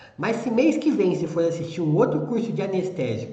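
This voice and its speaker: With lively intonation and a high pitch, a man talks through noticeable background noise and audible room echo. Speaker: veterinary anesthesia teacher. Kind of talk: lecture. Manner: slow; calm.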